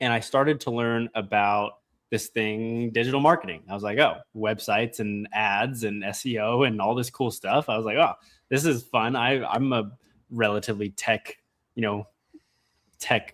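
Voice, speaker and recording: A man with a medium-pitched voice and fairly even intonation speaks at a moderate pace on a very clean recording with a silent background. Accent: American. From Colorado, US. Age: 20s. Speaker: AI business owner and student. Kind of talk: podcast interview. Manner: casual, many fillers.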